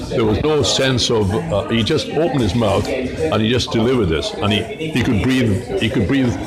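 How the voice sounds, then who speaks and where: A man talks with a Welsh accent at a moderate pace, with hardly any pauses and very even loudness. Music plays in the background, and audible room echo is present. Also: medium pitch for a man, ordinary pitch variation. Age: 70s. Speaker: retired opera bass singer. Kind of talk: interview. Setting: over lunch in a restaurant. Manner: halting, many repetitions.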